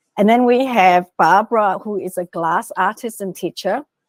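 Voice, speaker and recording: An ordinary speaking voice moves at a moderate pace with ordinary pitch variation, recorded very cleanly against a silent background with a dry, close sound and no echo. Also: woman. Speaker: executive coach and author. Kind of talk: interview presentation with slides.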